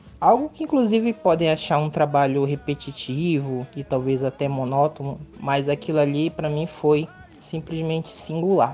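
Noticeable background noise runs beneath speech at a moderate pace with hardly any pauses. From Parintins, Amazonas, Brazil. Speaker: visual artist, fan. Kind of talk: personal testimony.

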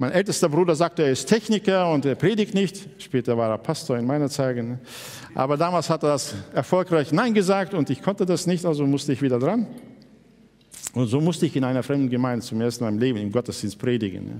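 At a fairly quick pace, a man with a normal speaking voice talks at a fairly high pitch, his intonation lively. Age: 60s. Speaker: pastor. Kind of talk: sermon.

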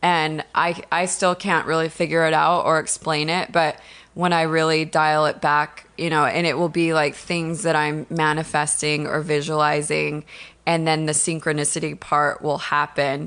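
A woman with an American accent speaks at a moderate pace and a very deep, low pitch. Her intonation is monotone and flat, and her loudness stays very even. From Washington State, US. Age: 30s. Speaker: makeup artist. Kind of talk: casual chat. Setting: home.

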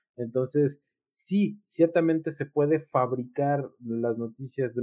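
At a fairly slow pace, an ordinary speaking voice moves with ordinary pitch variation. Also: man. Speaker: psychologist. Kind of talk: casual chat.

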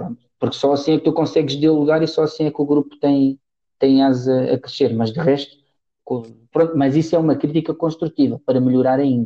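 A man with a dark, mellow tone keeps his intonation fairly even. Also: fairly high pitch for a man, fairly quick pace. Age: 30s. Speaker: football coach. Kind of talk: casual interview.

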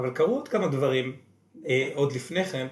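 A man at a moderate pace, his pitch fairly high and somewhat breathy, with ordinary pitch variation. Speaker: podcast co-host, real estate entrepreneur. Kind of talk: casual interview. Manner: quieter than usual.

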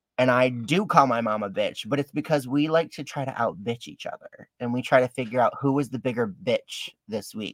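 Over music in the background, a man with an American accent talks in an animated tone at a fairly quick pace with hardly any pauses, in a dry, close sound with no echo. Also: medium pitch for a man, ordinary pitch variation. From Detroit, Michigan. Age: 30s. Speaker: drag queen. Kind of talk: casual interview chat. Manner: animated, jokey.

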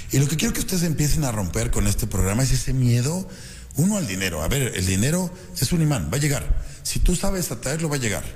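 Very fast and animated, a man speaks at a medium pitch with very wide pitch swings. Audible room echo surrounds his voice. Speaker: radio host and business coach. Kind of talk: motivational radio talk. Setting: radio studio.

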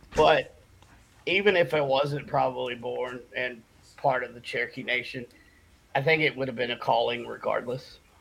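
A man with an Appalachian accent at a moderate pace, with long, frequent pauses and big swings in loudness. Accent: Southern US (Appalachian). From US South, western North Carolina. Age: 40s. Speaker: shaman and paranormal investigator, Marine veteran. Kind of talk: casual chat. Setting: video call.

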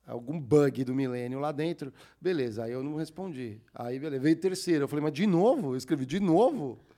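This man's voice has a fairly high pitch and a dark, mellow tone. He speaks at a moderate pace with ordinary pitch variation. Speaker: podcast host. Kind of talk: casual podcast chat.

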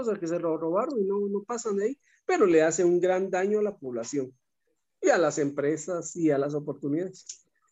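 Lively in intonation, a man speaks at a fairly quick pace. He has a Guatemalan accent. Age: 50s. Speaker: businessman. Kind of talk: casual chat.

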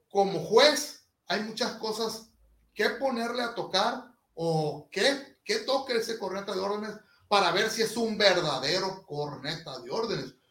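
Here a man speaks at a high pitch with lively intonation. His pace is fairly slow. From Sinaloa, Mexico. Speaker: marching band instructor. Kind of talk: interview.

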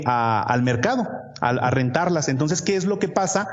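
A man with a Mexican accent speaks with ordinary pitch variation, with audible room echo and noticeable background noise. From Mexico. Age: 30s. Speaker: real estate investor. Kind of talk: interview.

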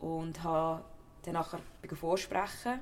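The speaker has a Central Swiss accent. Audible room echo surrounds the voice. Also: woman. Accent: Nidwalden Swiss German dialect. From Switzerland, Nidwalden. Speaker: actor, former footballer. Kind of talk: interview.

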